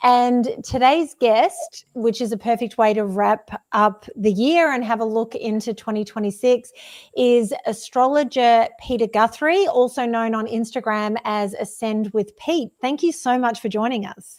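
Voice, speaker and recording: Speaking with an Australian accent, a woman with a fairly high pitch talks at a fairly slow pace with hardly any pauses. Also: ordinary pitch variation. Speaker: podcast host. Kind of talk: casual interview chat.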